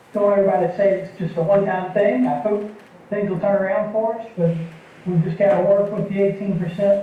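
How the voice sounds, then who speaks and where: With noticeable background noise behind it, the speech rushes along at a very fast pace. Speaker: benefits consultant. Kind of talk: presentation to council. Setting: council meeting.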